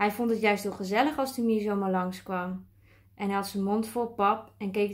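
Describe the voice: This plain reading aloud keeps a fairly even intonation.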